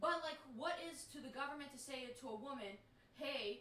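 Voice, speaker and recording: A woman projects her raised voice at a high pitch and a moderate pace, with audible room echo. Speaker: podcast host. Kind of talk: casual chat.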